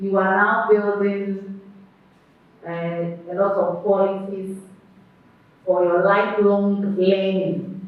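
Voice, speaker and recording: The speech is very slow, with long, frequent pauses. There is noticeable background noise. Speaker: quiz master. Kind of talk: quiz hosting. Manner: formal.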